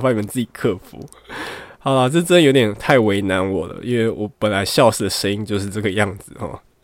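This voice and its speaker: The speech comes at a very fast pace with big swings in loudness. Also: man. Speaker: astrology podcast host. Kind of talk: casual solo chat. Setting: home bedroom during quarantine.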